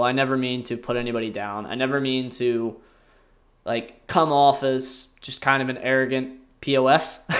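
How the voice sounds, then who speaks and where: Using a normal speaking voice, a man talks at a medium pitch with an American accent. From US Northeast, rural southern New Jersey. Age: 20s. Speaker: podcast host, former college wrestler. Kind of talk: casual monologue. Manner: rambling, filler-heavy with frequent laughs.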